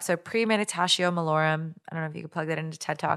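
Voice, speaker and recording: An American accent marks a woman's unremarkable speaking voice, delivered at a fairly quick pace with ordinary pitch variation on a very clean recording with a silent background. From Minnesota, US Midwest. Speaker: guest co-host. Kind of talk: casual chat.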